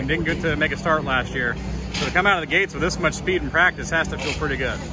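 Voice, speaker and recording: Very fast speech over loud background noise, dry with no echo. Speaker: motorsport reporter. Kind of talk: interview questions. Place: stadium.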